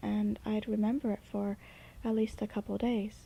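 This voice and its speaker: A dark, mellow tone colors this woman's somewhat breathy voice. She talks fairly slowly. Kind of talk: unscripted casual talk. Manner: hesitant, with fillers.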